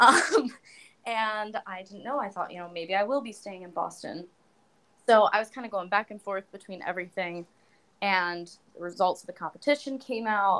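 Woman at medium pitch, bright and sharp in tone, with ordinary pitch variation, big swings in loudness, and a moderate pace. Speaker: opera and pop singer, beauty pageant titleholder. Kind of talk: casual chat.

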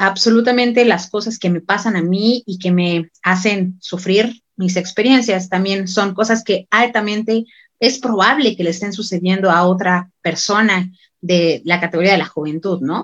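There is an unremarkable speaking voice here, belonging to a woman at medium pitch. She talks at a fairly slow pace with ordinary pitch variation. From Mexico, Michoacán (Morelia). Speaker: university student and activist. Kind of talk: panel discussion.

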